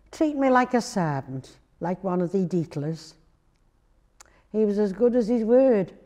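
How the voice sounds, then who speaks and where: With a North Wales accent, a woman speaks at a fairly slow pace with long, frequent pauses and very wide pitch swings in a dark, mellow tone. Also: medium pitch for a woman, quiet background. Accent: North Wales, Buckley dialect. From Buckley, Flintshire, North Wales. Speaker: dialect reader. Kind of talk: dialect story reading.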